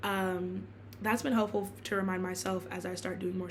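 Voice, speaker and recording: Lively intonation comes through with audible room echo. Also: woman. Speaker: blogger and student. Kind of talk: casual vlog monologue. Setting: filming in her room. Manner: fast; halting, many fillers and restarts.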